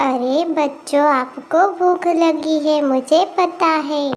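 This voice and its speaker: A woman does a cartoonish character voice with a high pitch. She speaks very slowly with fairly even intonation. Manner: soft, polite.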